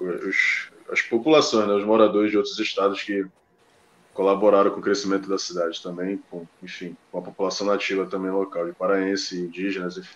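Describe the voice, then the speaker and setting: In a Belém accent, a man speaks at a fairly quick pace and fairly low pitch, with fairly even intonation and big swings in loudness. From Belém, Pará, northern Brazil. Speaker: football pundit. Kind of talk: casual chat.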